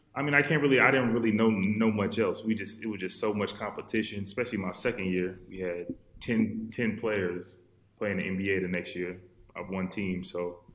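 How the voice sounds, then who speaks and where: Audible room echo surrounds a man speaking at a fairly low pitch and a moderate pace. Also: ordinary pitch variation. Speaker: professional basketball player. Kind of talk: casual chat. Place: home room. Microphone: video call.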